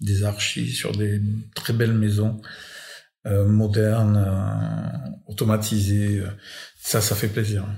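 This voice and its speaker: Very slow and somewhat breathy, the voice has a dark, mellow tone, a monotone, flat intonation, very even loudness and long, frequent pauses, with audible room echo. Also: man. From France. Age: 60s. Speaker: electrician. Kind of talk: casual chat. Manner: halting.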